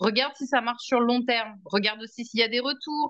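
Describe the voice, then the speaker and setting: Fairly slow in pace, a woman speaks with a high pitch and ordinary pitch variation. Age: 30s. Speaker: energy healing client and podcast guest. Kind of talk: casual chat.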